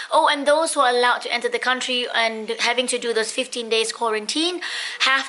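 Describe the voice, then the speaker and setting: Over noticeable background noise, a woman with a high pitch uses a raised, projected voice at a moderate pace. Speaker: lifestyle vlogger. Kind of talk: casual vlog. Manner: perky, chirpy.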